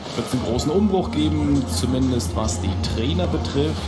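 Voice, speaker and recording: Loud music plays in the background as a man talks at a fairly slow pace. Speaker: TV sports commentator. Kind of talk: commentary.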